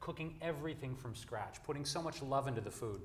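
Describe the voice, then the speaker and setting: Audible echo from the room around a man's mid-range voice, with normal rise and fall in pitch. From US Midwest, Detroit, Michigan. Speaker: vegan advocate. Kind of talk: panel discussion. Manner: casual.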